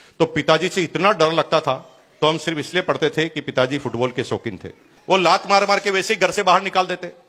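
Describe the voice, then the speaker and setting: Bright and sharp in tone, a man speaks at a moderate pace. His pitch varies in an ordinary way. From Rajasthan, India (Bhilwara). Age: 50s. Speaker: network marketing speaker. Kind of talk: motivational talk.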